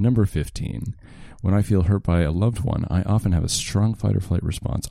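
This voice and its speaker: A man speaks over noticeable background noise. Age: 20s. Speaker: comedian. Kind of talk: casual chat.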